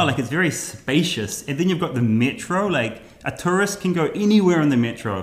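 Intonation rises and falls in a lively way as a man talks in a somewhat breathy voice. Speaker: travel YouTuber. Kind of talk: casual interview conversation.

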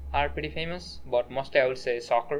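A man's voice with noticeable background noise. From Nepal. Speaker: student podcast co-host. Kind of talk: casual chat.

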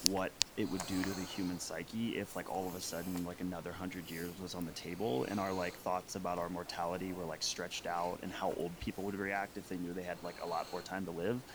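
Over noticeable background noise, a man talks at a very fast pace. His pitch is very deep and low, with fairly even intonation. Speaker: podcast co-host. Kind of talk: casual interview conversation.

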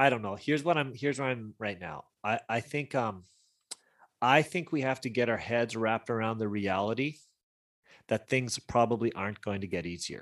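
An unremarkable speaking voice from a man with a Canadian accent, medium pitch, ordinary pitch variation and moderate pace, on a very clean recording with a silent background. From British Columbia, Canada. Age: 40s. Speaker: youth ministry leader. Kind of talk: casual interview chat.

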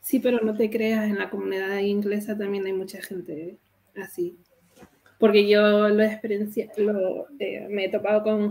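Medium in pitch, a woman speaks at a fairly slow pace. She has a plain, everyday voice. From Canary Islands. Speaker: crypto community member. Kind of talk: casual chat.

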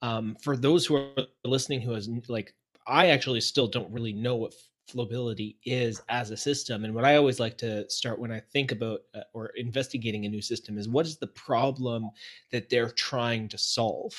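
In a plain, everyday voice, a man speaks at a moderate pace and medium pitch, his intonation fairly even but his loudness swinging widely, against a quiet background. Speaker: podcast host. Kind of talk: casual interview.

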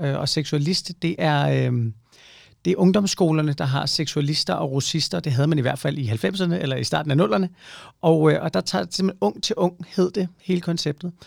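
A man's unremarkable speaking voice, with lively intonation and a moderate pace, on a very clean recording with a silent background. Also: fairly high pitch for a man. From provincial Denmark. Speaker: podcast host. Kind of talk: casual chat.

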